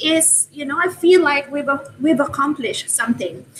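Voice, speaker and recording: A woman speaks with a Filipino accent and lively intonation. Her pace is moderate. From Philippines. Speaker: open education advocate. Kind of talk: casual chat. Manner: hesitant, many fillers.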